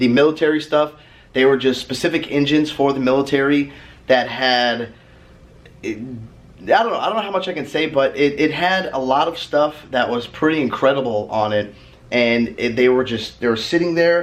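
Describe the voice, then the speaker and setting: A man with a plain, everyday voice talks at a moderate pace and a fairly high pitch, with ordinary pitch variation. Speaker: automotive vlogger. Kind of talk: casual vlog talk. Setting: hotel room.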